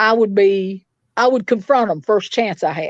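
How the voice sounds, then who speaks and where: A woman speaks with a Tennessee accent at a fairly high pitch. The background is quiet. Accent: Southern US (Tennessee). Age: 60s. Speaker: victim's mother. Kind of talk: interview. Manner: animated.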